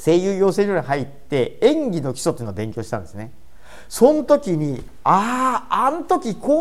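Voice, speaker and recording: A high-pitched man speaks with very wide pitch swings and big swings in loudness. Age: 50s. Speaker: comedian and presentation coach. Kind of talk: solo podcast talk. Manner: casual.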